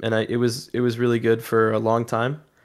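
A man talks at a medium pitch. The background stays silent on this very clean recording. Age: 20s. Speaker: esports player and content creator. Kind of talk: casual chat.

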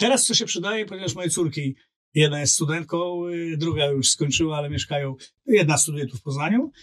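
Talking at a very fast pace, a man uses lively intonation and a fairly high pitch. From Poland, Olsztyn. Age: 50s. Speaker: LinkedIn coach and business strategist. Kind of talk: casual interview chat.

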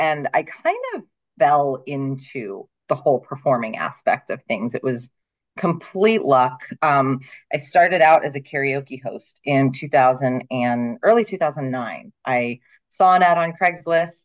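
A woman with an American accent speaks at a fairly slow pace in a very deep, low voice, her intonation lively. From Ohio. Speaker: singer. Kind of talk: casual chat.

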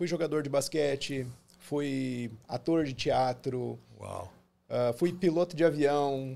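A man's dark, mellow tone and fairly even intonation come through on a very clean recording with a silent background. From southern Brazil (Paraná, born Porto Alegre). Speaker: dentist. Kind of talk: interview.

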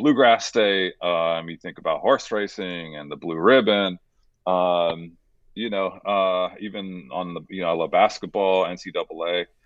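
Big swings in loudness mark a man's very deep, low voice as he speaks at a fairly slow pace with ordinary pitch variation. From Southern California, San Diego. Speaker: footwear creative director and bourbon entrepreneur. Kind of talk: interview. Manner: halting, many fillers.

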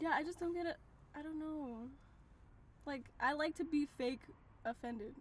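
A woman's high voice in an animated tone at a moderate pace, broken by long, frequent pauses. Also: ordinary pitch variation. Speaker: podcast co-host. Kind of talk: casual chat. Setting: in a car.

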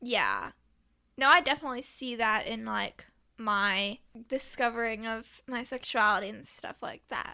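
A woman's fairly high, bright, sharp voice at a moderate pace, with ordinary pitch variation, big swings in loudness and a very clean recording over a silent background. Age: 20s. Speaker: true crime podcaster and restaurant worker. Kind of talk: casual interview chat.

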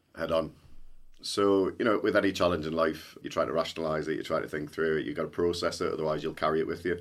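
This is a very clean recording with a silent background. A man talks at a very fast pace. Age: 40s. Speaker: tech company CEO. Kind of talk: podcast interview.

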